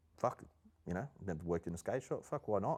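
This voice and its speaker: In an Australian accent, the speaker uses ordinary pitch variation on a very clean recording with a silent background. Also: man. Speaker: skateboarder. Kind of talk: casual chat. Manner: halting.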